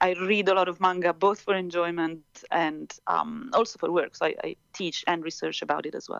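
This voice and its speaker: This woman speaks with an Italian accent and fairly even intonation. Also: medium pitch for a woman, moderate pace. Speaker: professor. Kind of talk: interview. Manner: hesitant, many fillers.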